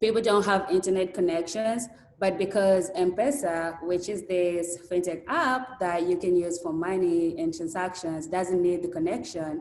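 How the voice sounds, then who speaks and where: The room echo is audible. Noticeable background noise runs underneath. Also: woman. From Kenya. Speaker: summer intern, university student. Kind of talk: interview answers on video call. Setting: video call.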